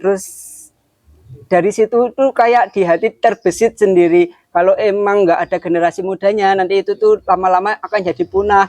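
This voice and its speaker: A man's high-pitched voice at a fairly quick pace, fairly even in intonation and very even in loudness, dry and close with no echo. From Kudus, Central Java, Indonesia. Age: 20s. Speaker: young craftsman. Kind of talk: interview testimony.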